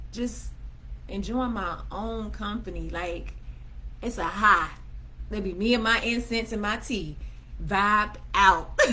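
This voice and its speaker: In a room with audible echo, a woman talks at a very slow pace, leaving long, frequent pauses. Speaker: self-help vlogger. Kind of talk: livestream talk. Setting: livestream on laptop. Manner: casual.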